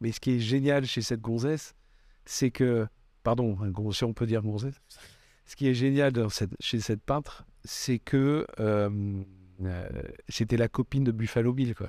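A man's dark, mellow voice at medium pitch, fairly even in intonation and fairly slow, with long, frequent pauses, on a very clean recording with a silent background. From Bordeaux, southwest France. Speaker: photographer. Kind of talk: casual interview. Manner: hesitant, many fillers.

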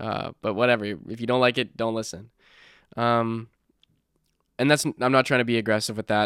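Recorded very clean with a silent background and a dry, close sound with no echo, a medium-pitched man speaks at a moderate pace with fairly even intonation and long, frequent pauses. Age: young. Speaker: podcast host. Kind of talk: casual monologue. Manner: halting, many fillers.

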